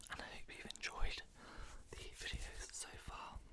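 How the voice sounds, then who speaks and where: The man speaks only in a whisper. Background noise is clearly audible. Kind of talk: casual talk to camera. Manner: whispered.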